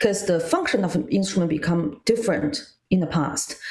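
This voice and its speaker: A woman's fairly low voice in a Chinese accent, at a moderate pace with ordinary pitch variation. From China. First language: Mandarin Chinese. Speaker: guzheng player and music scholar. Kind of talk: casual interview chat.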